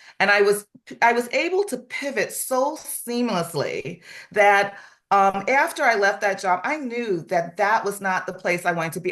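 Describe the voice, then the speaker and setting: Against a quiet background, a woman with a normal speaking voice talks at a moderate pace in a medium pitch, her intonation lively. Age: 60s. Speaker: real estate office manager. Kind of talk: testimony.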